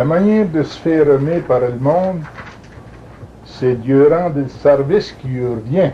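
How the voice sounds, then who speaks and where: In a New England accent, a man talks at a fairly slow pace with long, frequent pauses. His pitch is fairly high, with ordinary pitch variation. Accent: Franco-American French. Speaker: retired police chief. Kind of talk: interview answer.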